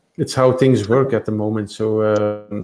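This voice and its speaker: Fairly even intonation shapes a voice with a dark, mellow tone. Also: man. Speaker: tech startup co-founder. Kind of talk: interview. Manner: halting.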